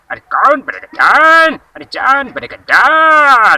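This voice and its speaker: In a cartoonish character voice pitched extremely high, a man speaks at a very slow pace. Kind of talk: cartoon voice mimicry. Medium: solo performance.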